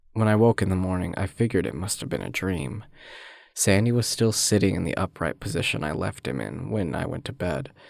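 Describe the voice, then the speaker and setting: The recording is very clean, with a silent background. A man with a fairly low pitch and vocal fry speaks with lively intonation. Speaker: aspiring voice actor. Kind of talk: horror story narration.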